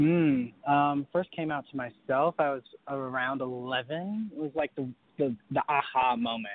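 Speaking slowly-ish with an American accent, a man has an ordinary speaking voice, a fairly high pitch and ordinary pitch variation. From North Carolina. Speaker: singer. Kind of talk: interview.

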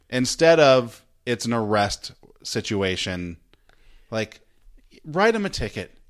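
On a very clean recording with a silent background, a man with an American accent speaks at a fairly slow pace with very wide pitch swings. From US, Idaho (McCall). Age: 40s. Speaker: podcast host. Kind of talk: casual chat.

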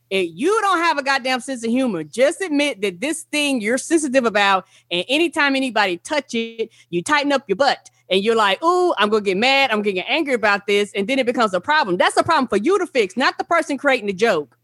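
A high-pitched woman in a Southern US accent, very fast with hardly any pauses, very wide pitch swings, and a dry, close sound with no echo. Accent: Southern country. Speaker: podcast co-host, guest. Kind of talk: casual chat. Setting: video call.

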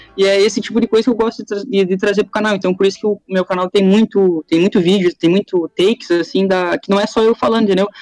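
A man's high, fairly even voice at a very fast pace with hardly any pauses, dry and close with no echo. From Rio Grande do Sul, Brazil. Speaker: YouTuber. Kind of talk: casual interview chat.

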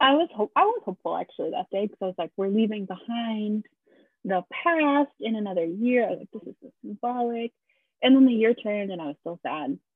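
Speaking at a fairly quick pace, a woman with an ordinary speaking voice and a fairly high pitch shows lively intonation and big swings in loudness. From Massachusetts, born in Brazil. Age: 20s. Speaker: podcast co-host. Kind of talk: casual chat.

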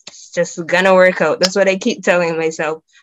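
A woman speaks with a Barbadian accent. Her pitch sits at a medium level. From Barbados. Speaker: film student. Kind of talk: casual faith conversation.

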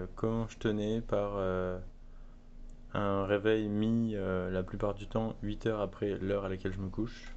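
Audible room echo colors the recording. The speaker goes at a fairly slow pace in a monotone, flat intonation. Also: man, fairly low pitch for a man. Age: 20s. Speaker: artisan soap maker, entrepreneur. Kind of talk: interview. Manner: hesitant, many fillers.

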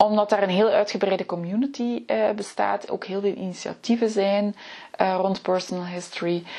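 A woman with a medium pitch and ordinary pitch variation talks over noticeable background noise. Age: 40s. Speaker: podcast host, personal historian. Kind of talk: solo podcast talk. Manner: hesitant, many filler sounds.

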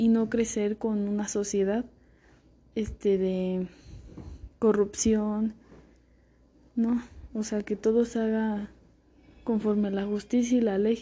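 A woman with a dark, mellow tone speaks very slowly in a monotone, flat intonation. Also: fairly high pitch for a woman. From central Mexico. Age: 20s. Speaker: law student. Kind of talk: recorded self-presentation for class. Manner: halting, with fillers and repetitions.

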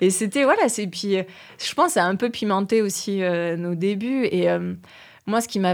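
A woman speaks in a normal speaking voice at a medium pitch with fairly even intonation, in a very clean recording with a silent background. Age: 40s. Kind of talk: casual conversation.

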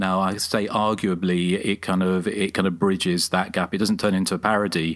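At a moderate pace, a man talks in a very deep, low monotone with flat intonation and very even loudness, in a very clean recording with a silent background. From outside the United States. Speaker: podcast host, horror film writer. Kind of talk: film commentary, casual chat.

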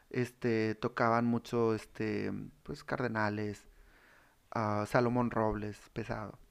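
A man speaks at a very slow pace with a medium pitch and a monotone, flat intonation. The background is quiet. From Monterrey, northern Mexico (raised there since 1995). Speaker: regional Mexican musician. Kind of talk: casual chat.

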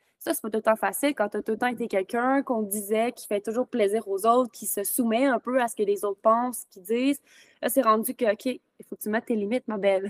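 Talking at a fairly quick pace, a woman with a fairly high pitch shows big swings in loudness, recorded with a dry, close sound and no echo. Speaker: podcast host and virtual assistant. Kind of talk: casual interview. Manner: animated.

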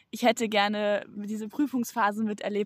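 In a very clean recording with a silent background and a dry, close sound free of echo, a woman talks at a fairly quick pace with a fairly high pitch and monotone, flat intonation. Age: 20s. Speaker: tailor apprentice. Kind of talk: casual interview.

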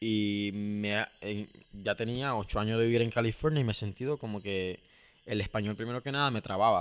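This normal speaking voice holds fairly even intonation and keeps a moderate pace. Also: man, fairly low pitch for a man. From Nicaragua, Corinto. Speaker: education program co-founder. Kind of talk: interview.

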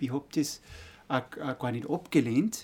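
At a fairly slow pace, a man speaks in a fairly high pitch with a dark, mellow tone. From Austria, Salzburg Pongau (Altenmarkt). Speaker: architect. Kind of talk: interview. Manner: halting, many fillers.

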